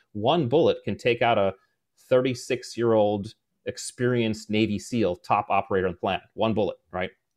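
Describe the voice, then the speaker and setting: A man with a plain, everyday voice speaks at a moderate pace in a medium pitch with ordinary pitch variation, the sound dry and close with no echo. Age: 40s. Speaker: former special forces officer and leadership author. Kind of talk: interview.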